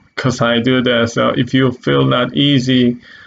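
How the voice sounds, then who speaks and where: A man with a Korean accent at a very slow pace. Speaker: art teacher. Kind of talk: tutorial. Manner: halting.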